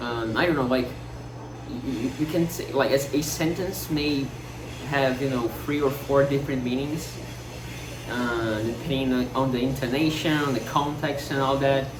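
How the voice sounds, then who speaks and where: Someone speaks at a moderate pace in a non-native accent with fairly even intonation. Noticeable background noise and audible room echo are present. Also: man, medium pitch for a man. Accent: Portuguese-speaker accent in English. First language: Portuguese. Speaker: vlogger. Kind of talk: casual monologue. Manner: halting, many fillers and repetitions.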